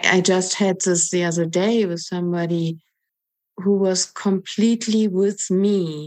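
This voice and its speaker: A woman's fairly slow voice with fairly even intonation, music playing in the background. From Germany. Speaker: retreat participant. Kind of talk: group sharing.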